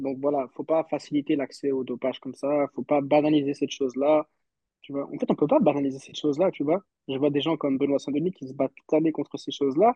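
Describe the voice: Fast and fairly even in intonation, a man's fairly high voice carries a dark, mellow tone with a slightly husky edge, and the sound is dry and close with no echo.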